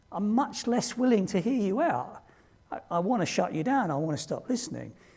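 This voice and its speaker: A man's dark, mellow voice in a British accent, fairly quick, with very wide pitch swings. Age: 60s. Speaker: diversity trainer. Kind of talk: training presentation.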